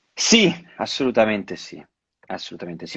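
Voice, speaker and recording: With a slight Venetian accent, a man talks at a moderate pace. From Veneto, Padua. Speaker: actor. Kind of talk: casual interview. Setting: Instagram live video. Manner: halting, many repetitions.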